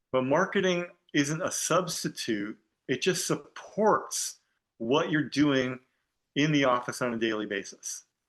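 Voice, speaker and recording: A man talks in a normal speaking voice at medium pitch and a moderate pace. His intonation is lively, and the background is quiet. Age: 60s. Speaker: dentist, podcast guest. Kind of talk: casual interview chat. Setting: podcast.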